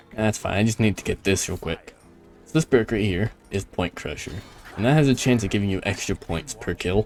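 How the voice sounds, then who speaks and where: A man's fairly low voice, animated in tone, with lively intonation and a moderate pace, over music in the background. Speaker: gaming youtuber. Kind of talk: gameplay commentary. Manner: casual, animated.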